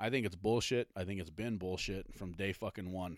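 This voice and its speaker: A man with an ordinary speaking voice speaks at a fairly quick pace with ordinary pitch variation, and the sound is dry and close with no echo in a very clean recording with a silent background. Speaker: podcast host. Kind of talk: solo podcast rant, casual and profane. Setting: home basement, alone at a microphone. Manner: angry, foul-mouthed, venting, cursing freely, dismissive and sarcastic; filler-heavy, rambling, clearing throat often, stop-start delivery.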